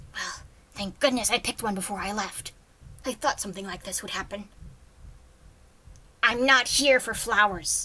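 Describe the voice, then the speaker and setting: In a put-on character voice, a woman speaks at a fairly high pitch and a moderate pace, leaving long, frequent pauses. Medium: read story. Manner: guarded, curt.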